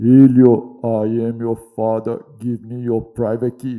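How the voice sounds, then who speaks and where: In a put-on character voice, a man speaks fairly slowly at a medium pitch with a monotone, flat delivery. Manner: menacing, mock-ominous.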